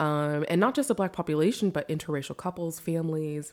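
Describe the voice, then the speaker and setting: Fairly low in pitch with a dark, mellow tone, a woman with an American accent talks at a fairly quick pace on a very clean recording with a silent background. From US. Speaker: novelist living in Berlin. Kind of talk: casual chat. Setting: kitchen table, in person.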